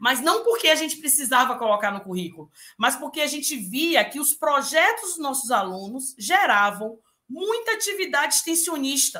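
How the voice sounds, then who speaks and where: A woman's bright, sharp voice with lively intonation at a moderate pace, over a quiet background. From interior of Bahia, Brazil. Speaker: university pro-rector, professor. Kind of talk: panel talk. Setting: video call.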